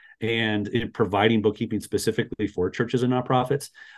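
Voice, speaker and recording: Very fast and fairly low-pitched, a man talks with an American accent. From Las Vegas, Nevada. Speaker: church bookkeeping business owner. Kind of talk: interview conversation. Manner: many filler words (uh, um).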